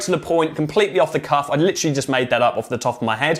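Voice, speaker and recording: A man talks very fast with a British accent. His tone is animated. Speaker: social media marketing agency owner and coach. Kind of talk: tutorial.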